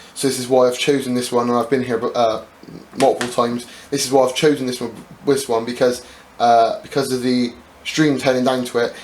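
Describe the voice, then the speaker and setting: A monotone, flat voice moves at a fairly quick pace over noticeable background noise. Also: man, medium pitch for a man. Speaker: YouTube prepper and bushcraft vlogger. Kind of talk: casual vlog announcement. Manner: hesitant, many fillers.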